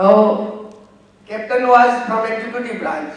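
A man speaks in an Indian accent at a moderate pace. Strong room echo surrounds his voice. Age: 60s. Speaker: audience member, engineer; audience member. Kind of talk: personal anecdote in audience Q&A; guest talk anecdote. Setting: stage with audience. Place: hall.

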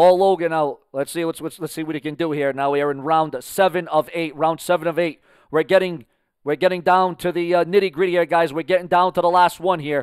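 A man's high voice at a fairly quick pace, dry with no echo, against a quiet background. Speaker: boxing commentator. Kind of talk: live boxing commentary. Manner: excitable, hyped-up play-by-play; rapid, promotional patter. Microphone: headset.

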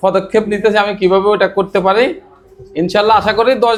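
This man's voice sits high, and his intonation stays fairly even. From Bangladesh, Noakhali. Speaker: barista trainee. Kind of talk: interview testimony.

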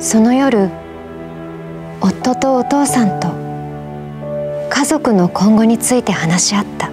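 A woman speaks at a very slow pace with long, frequent pauses, and clear music plays in the background. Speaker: voice actor. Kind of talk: emotional short story reading. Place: studio.

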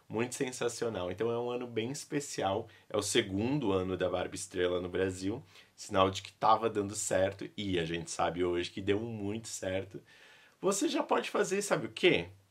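At a moderate pace, a man speaks in an animated tone with fairly low pitch and ordinary pitch variation. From Brazil. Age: 30s. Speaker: YouTuber and vintage doll collector; YouTuber. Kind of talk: casual vlog showing a collection. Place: home room.

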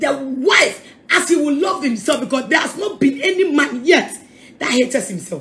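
The voice is raised and projected, bright and sharp in tone, moving at a moderate pace with very wide pitch swings. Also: woman. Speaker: preacher. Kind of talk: sermon. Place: home room. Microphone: phone near.

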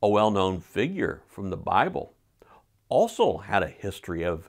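Against a quiet background, a man with a fairly low pitch speaks at a very slow pace. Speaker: pastor. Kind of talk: sermon. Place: home room. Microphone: lapel.

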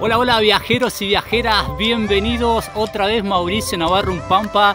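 A man talks at a moderate pace in a high pitch with ordinary pitch variation. Clear music plays in the background of a dry sound with no echo. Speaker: travel vlogger. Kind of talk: casual vlog chat. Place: open country. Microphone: lapel.

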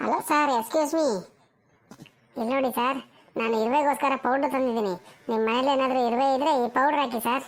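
In a cartoonish character voice, a woman speaks at a moderate pace and a high pitch. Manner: polite, insistent.

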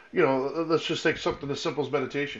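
A man is speaking here. His pitch is fairly high. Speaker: podcast co-host. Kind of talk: casual chat. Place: home room. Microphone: video call.

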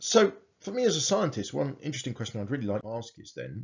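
A man's voice with vocal fry at a fairly quick pace. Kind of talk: lecture. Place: home room. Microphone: webcam.

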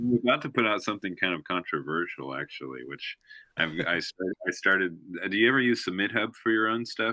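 Speaking fairly quickly with an American accent, a man uses a fairly low pitch, vocal fry and lively intonation. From Oklahoma. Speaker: musician. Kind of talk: interview. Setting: remote call.

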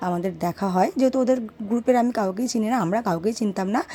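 This woman has a dark, mellow tone. Her pitch varies in an ordinary way. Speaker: vlogger. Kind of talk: casual vlog narration.

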